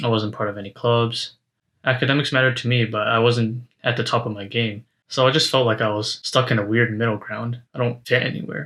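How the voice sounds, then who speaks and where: With a Canadian accent and an ordinary speaking voice, a man talks at medium pitch and a fairly quick pace, his intonation fairly even, on a very clean recording with a silent background. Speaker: university student vlogger. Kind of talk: reflective monologue to camera. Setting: speaking to a camera.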